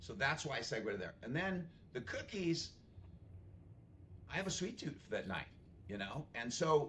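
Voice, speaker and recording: Vocal fry runs through this voice. The pace is fairly quick. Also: man. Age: 60s. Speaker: bodybuilder turned food entrepreneur. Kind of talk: podcast interview. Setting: podcast. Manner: animated.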